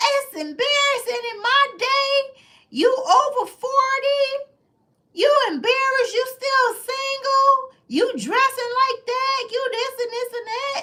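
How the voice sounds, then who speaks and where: A man puts on a character voice, pitched extremely high, and speaks at a fairly slow pace. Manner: scolding, disapproving.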